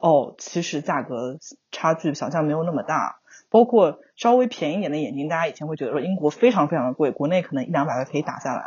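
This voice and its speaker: A woman speaks with a very deep, low pitch and lively intonation. Her pace is very fast. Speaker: overseas graduate working professional. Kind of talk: casual chat.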